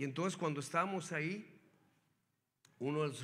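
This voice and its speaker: There is audible room echo as a man talks in a bright, sharp tone with ordinary pitch variation. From northern Mexico, Hermosillo, Sonora. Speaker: guest preacher. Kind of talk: sermon. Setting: church. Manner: animated.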